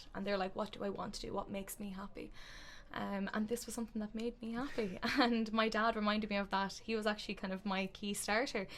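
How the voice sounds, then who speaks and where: A woman speaks at a very fast pace in a fairly high pitch, her intonation monotone and flat. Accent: Irish. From Ireland, County Meath. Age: 20s. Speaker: podcast co-host, spiritual shop owner. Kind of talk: casual chat.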